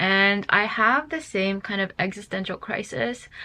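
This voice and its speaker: A woman's medium-pitched voice, bright and sharp in tone, at a very slow pace against a quiet background. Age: 20s. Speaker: lifestyle vlogger. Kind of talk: casual vlog monologue. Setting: talking to camera. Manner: chatty, filler-heavy.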